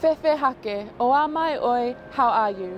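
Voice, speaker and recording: The sound is dry with no echo, and light background noise can be heard. Pitch variation is ordinary. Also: woman. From New Zealand. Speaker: spoken word poet. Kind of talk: spoken word poetry. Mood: earnest, reflective. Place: beach.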